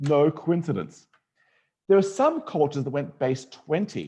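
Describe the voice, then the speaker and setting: A fairly high-pitched man's voice with an Australian accent, a dark, mellow tone, vocal fry and lively intonation. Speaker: mathematician and educator. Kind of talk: online lecture to students. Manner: animated.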